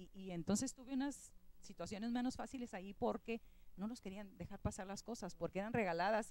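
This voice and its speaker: The tone is animated. Pitch variation is ordinary. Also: woman, medium pitch for a woman. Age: 60s. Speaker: former school beauty queen, alumna. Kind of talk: TV talk show conversation.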